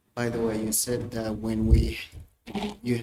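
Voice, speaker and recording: A man speaks at a fairly slow pace. He has a non-native accent. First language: not English. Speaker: defendant representing himself. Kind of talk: courtroom cross-examination. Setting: courtroom.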